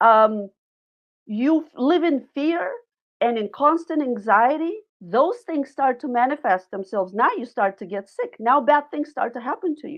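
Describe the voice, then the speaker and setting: A woman speaks in a high voice with very wide pitch swings. Her loudness also swings a lot. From Bulgaria. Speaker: nutritionist. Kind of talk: interview testimony. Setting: podcast.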